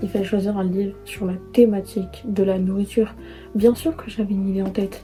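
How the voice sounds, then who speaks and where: Music plays behind a woman speaking at a medium pitch. Her intonation stays fairly even. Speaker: book youtuber. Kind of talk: casual talk to camera. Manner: chatty, rambling.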